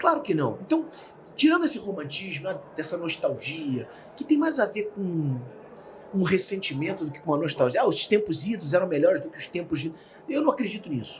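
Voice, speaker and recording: A man with a Rio de Janeiro accent talks at a fairly quick pace in a high pitch. His pitch swings very widely and his loudness rises and falls sharply. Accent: carioca. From Rio de Janeiro, Brazil. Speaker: speaker and author. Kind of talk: interview. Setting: studio.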